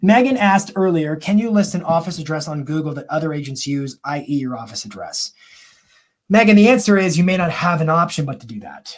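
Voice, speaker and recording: This man's pitch sits fairly high, and his intonation is lively. He speaks at a fairly quick pace. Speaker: marketing coach and live stream host. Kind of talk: live Q&A stream. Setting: live online broadcast. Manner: fast; animated.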